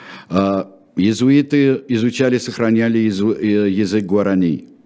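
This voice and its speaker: Dark, mellow tone in a fairly low male voice. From Russia. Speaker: radio host and history presenter. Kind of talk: history talk show. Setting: studio. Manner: hesitant with filler sounds.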